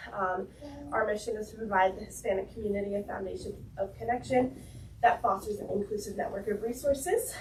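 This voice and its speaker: At a fairly quick pace, a woman talks at a medium pitch with noticeable background noise behind her. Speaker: nonprofit founder. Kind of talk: community update.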